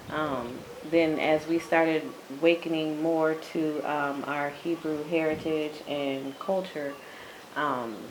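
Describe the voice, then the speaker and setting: Over noticeable background noise and audible room echo, a woman with an American accent talks very slowly at a very deep, low pitch in a monotone, flat intonation. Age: 40s. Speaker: interviewee, expat in Ghana. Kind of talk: interview.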